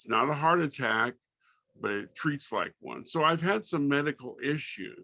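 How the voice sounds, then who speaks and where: A man with an American accent, fairly high pitch, and vocal fry, at a moderate pace, with a bright, sharp tone, ordinary pitch variation, and big swings in loudness. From Southern California. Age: 60s. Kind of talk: interview.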